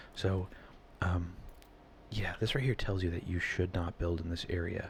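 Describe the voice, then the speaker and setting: A soft-spoken, somewhat breathy man talks with a very deep, low pitch. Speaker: ASMR gaming video creator. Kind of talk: casual gaming commentary, soft-spoken ASMR. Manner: soft-spoken, rambling.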